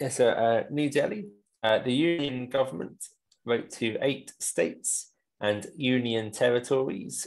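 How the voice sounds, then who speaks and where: Speaking at a fairly slow pace, a man with a British accent uses a medium pitch and ordinary pitch variation. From England. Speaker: English teacher. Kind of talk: newspaper read-aloud.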